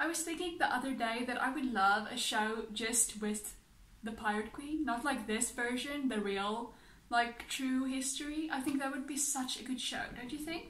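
The high-pitched woman talks at a moderate pace, with audible echo from the room. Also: ordinary pitch variation. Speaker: reaction video creator. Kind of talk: casual vlog chat. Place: home room.

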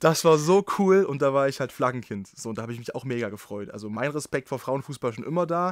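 Delivered at a very fast pace with hardly any pauses, the speech has lively intonation. The recording is very clean against a silent background. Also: man, medium pitch for a man. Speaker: podcast host and sports reporter. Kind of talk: casual chat. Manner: relaxed.

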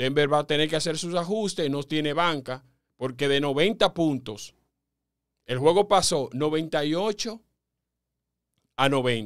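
A man at a fairly high pitch with ordinary pitch variation, a fairly slow pace and long, frequent pauses over a quiet background. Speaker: sports commentator and podcast host. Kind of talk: sports commentary podcast talking to listeners. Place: studio. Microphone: studio mic.

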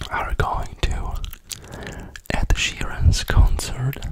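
A man whispers at a very slow pace. His voice is breathy. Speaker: ASMR creator. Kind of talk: ASMR whisper chat. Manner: whispered, breathy. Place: home room. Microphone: studio mic.

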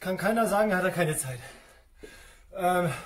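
A man with a high pitch speaks at a moderate pace. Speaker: fitness trainer. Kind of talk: casual workout instruction. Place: gym. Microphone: camera far.

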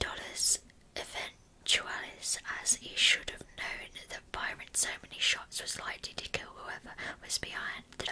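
Whispering at a fairly slow pace, the speaker delivers the words quietly. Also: woman. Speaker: true crime storyteller. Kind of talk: narrated storytelling to camera. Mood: calm, serious. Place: home room. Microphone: earbuds.

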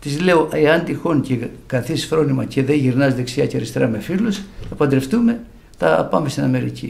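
Using lively intonation and some vocal fry, a man speaks at a moderate pace with a fairly high pitch. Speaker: bouzouki musician; interviewee. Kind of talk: religious testimony. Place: home room. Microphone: studio mic.

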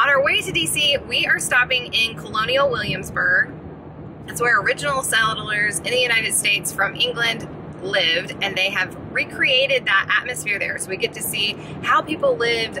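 Moderate speed and lively intonation, with noticeable noise behind the voice. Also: woman. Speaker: parent vlogger. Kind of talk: casual vlog chat. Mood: cheerful, excited. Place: car. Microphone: phone near.

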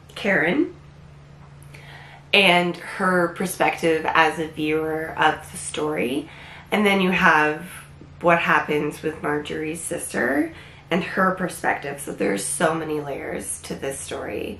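Through noticeable background noise comes a woman's very deep, low voice, moving at a very slow pace with ordinary pitch variation. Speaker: book reviewer. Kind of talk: casual book review to camera.

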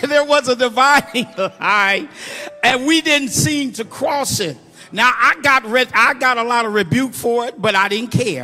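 Using a raised, projected voice, a man with an American accent speaks at a fairly slow pace, his extremely high pitch showing ordinary variation. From Muncie, Indiana. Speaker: preacher giving a eulogy. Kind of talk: informal, call-and-response preaching. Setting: church funeral service. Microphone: handheld.

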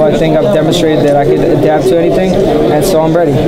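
Loud background noise surrounds a man who talks at a very fast pace. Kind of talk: interview answer. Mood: happy, celebratory. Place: hall. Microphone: handheld.

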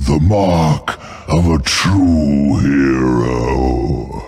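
A man's put-on character voice, extremely low and very slow, with fairly even intonation, a slightly mellow tone and faint background noise

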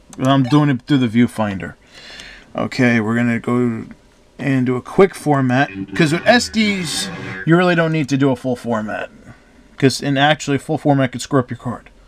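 Music plays behind a man who speaks with long, frequent pauses. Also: medium pitch for a man, lively intonation, moderate pace. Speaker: tech reviewer. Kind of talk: tutorial.

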